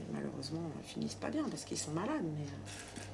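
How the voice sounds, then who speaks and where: Noticeable background noise and audible room echo accompany the woman as she talks. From Paris suburbs. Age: 50s. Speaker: hairdresser. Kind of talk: casual chat. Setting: client's home. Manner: hesitant, many fillers.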